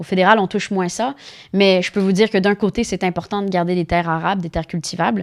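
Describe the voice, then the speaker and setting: A woman with a Spanish accent talks at a very fast pace, her medium pitch held in a fairly even intonation. The recording is very clean and dry, close-miked with no echo and a silent background. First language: Spanish (speaking French). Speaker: politician. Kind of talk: interview. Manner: halting.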